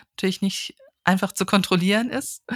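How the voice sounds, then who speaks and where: This woman has an unremarkable speaking voice, pitched at a medium level with ordinary pitch variation. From northern Hesse, Germany (village near Kassel). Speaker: audiology professor. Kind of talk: interview. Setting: remote recording.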